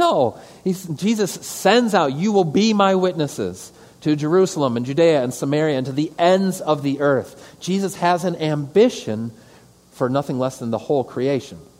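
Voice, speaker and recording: With an Upper Midwest accent, a man speaks at a moderate pace in a fairly high pitch and lively intonation. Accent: Upper Midwest American. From Metro Detroit, Michigan. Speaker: pastor. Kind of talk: lecture. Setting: stage with audience.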